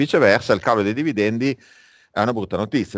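The recording is very clean, and the background is silent. A man's intonation is lively. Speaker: finance lecturer. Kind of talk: lecture. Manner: halting, with many fillers.

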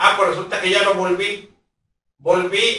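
With audible room echo around him, a man raises and projects his high-pitched voice. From Mexico. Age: 60s. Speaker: local news vlogger. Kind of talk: direct-to-camera public appeal. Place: home room. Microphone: camera far.

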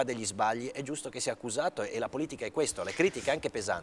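Over light background noise, a man talks at a medium pitch. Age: 50s. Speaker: senator. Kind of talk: TV interview. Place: studio. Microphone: lapel.

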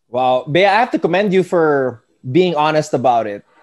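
Over a quiet background, a man speaks with a Filipino accent. His intonation is lively. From Philippines. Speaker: sports podcast host. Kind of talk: casual interview. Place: home room. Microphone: earbuds.

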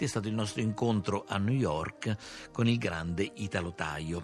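Faint music plays in the background as a man speaks in a fairly low pitch with ordinary pitch variation, the sound dry with no echo. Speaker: radio host. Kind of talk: radio program talk. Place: studio.

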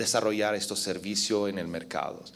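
A man with an Italian accent. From Italy. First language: Italian (speaking Spanish). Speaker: telecom policy expert, conference speaker; conference speaker. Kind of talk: conference talk. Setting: stage with audience. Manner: halting, many fillers. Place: hall. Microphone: podium.

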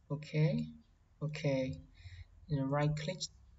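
A woman speaks very slowly in a very deep, low voice that is somewhat breathy. Her intonation is flat and monotone, with a non-native accent. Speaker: tutorial presenter. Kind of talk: tutorial. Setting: screen recording voiceover. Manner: halting, simple phrasing.

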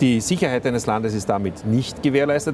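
Recorded dry with no echo, this man's voice sits over light background noise. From Austria. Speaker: politician. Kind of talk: interview. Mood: critical, argumentative. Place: studio. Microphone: lapel.

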